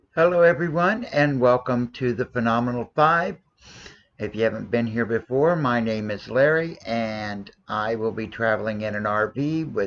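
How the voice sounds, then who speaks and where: The man's pitch sits in the medium range and varies in an ordinary way. He speaks at a moderate pace. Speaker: RV vlogger traveling with pets. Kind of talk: casual vlog talk to camera. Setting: at home in RV, dog on lap. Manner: halting, many fillers.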